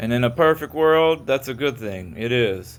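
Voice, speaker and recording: With a Kentucky accent, a man speaks at a fairly slow pace in a medium pitch with ordinary pitch variation. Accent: Southern US (Kentucky). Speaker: auditor and video creator. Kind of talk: casual monologue to camera. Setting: in a car. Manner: occasional stutter; halting, slightly impaired articulation.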